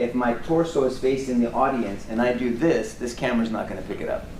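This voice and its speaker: A man at medium pitch, fairly quick, with ordinary pitch variation, plus noticeable background noise and audible room echo. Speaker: defense lawyer. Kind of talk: courtroom cross-examination. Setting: courtroom. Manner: fast; halting, repeats words.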